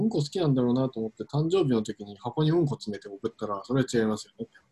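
Lively intonation runs through the man's dark, mellow tone at a medium pitch. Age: 30s. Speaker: podcast co-host. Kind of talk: casual chat. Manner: halting.

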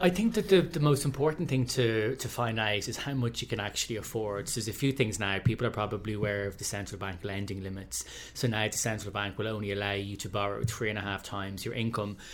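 This man talks at a very fast pace with an Irish accent. His pitch is fairly low, with ordinary variation. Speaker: head of communications, prospective homebuyer. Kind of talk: casual chat.

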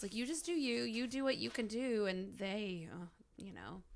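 A woman's bright, sharp voice, animated in tone, with lively intonation. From Arkansas. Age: 40s. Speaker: comedian. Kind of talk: casual chat.

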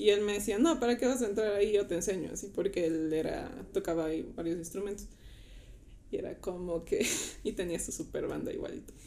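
A woman's dark, mellow voice at medium pitch, with ordinary pitch variation and a fairly quick pace. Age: 20s. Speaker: church volunteer. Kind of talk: casual chat.

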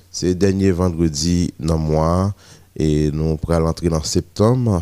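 Very deep and low, a man's voice carries fairly even intonation. The sound is dry and close, with no echo. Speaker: radio host. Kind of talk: morning radio show.

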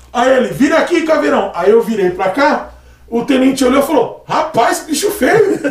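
Very wide pitch swings mark speech at a moderate pace. Audible room echo and noticeable background noise are present. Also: man, extremely high pitch for a man. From Brazil, Praia Grande (São Paulo coast). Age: 30s. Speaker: barber. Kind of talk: casual chat.

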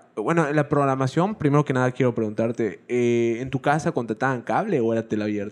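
A fairly quick pace with hardly any pauses and ordinary pitch variation. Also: man, medium pitch for a man. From Yucatán, Mexico. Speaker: podcast host. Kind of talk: casual chat.

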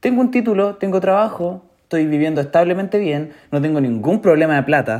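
A man with a Chilean accent speaks at a high pitch with lively intonation. His pace is fairly quick, with hardly any pauses. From Chile, Chillán. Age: 20s. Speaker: podcaster. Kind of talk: casual monologue. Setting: alone at home.

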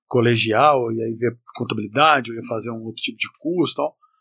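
A man is speaking. The background is quiet. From Northern Minas Gerais, Brazil (Montes Claros). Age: 40s. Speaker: chef and entrepreneur. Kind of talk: casual chat. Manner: interrupts often.

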